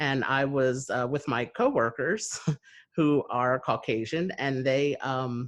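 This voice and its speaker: A man in a New Jersey accent speaks at a very slow pace and medium pitch with fairly even intonation. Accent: American, New Jersey. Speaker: podcast host. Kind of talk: interview conversation. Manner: hesitant, many fillers.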